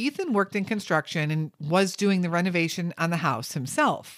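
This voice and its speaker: Speaking at a moderate pace with lively intonation, a woman has an unremarkable speaking voice at a medium pitch. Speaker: true crime podcaster. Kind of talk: true-crime narration. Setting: podcast recording. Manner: measured, serious storytelling tone; steady, even pacing, reporting facts.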